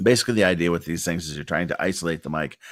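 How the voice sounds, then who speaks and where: Recorded very cleanly with a silent background and a dry, close sound with no echo, a man speaks at a very deep, low pitch with vocal fry and lively intonation. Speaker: business owner making tutorial videos. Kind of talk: tutorial. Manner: casual, many filler words.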